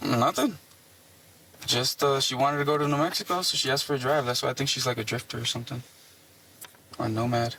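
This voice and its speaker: A man talks at a very fast pace and a medium pitch, with long, frequent pauses. Noticeable background noise runs under his voice. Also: ordinary pitch variation. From Puerto Rico. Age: 20s. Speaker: traffic stop suspect. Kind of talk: police questioning. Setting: inside a police car.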